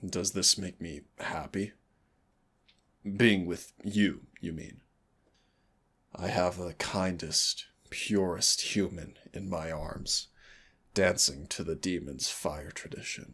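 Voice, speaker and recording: Using a put-on character voice with a very deep, low pitch, a man speaks at a very slow pace with long, frequent pauses. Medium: solo performance. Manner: soft, intimate, teasing.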